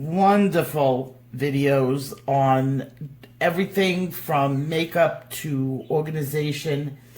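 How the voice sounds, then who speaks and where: A woman's very deep, low voice with a New York accent, very slow pace, audible room echo. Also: ordinary pitch variation. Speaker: coloring tutorial YouTuber. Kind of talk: tutorial. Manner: casual, hesitant with many fillers.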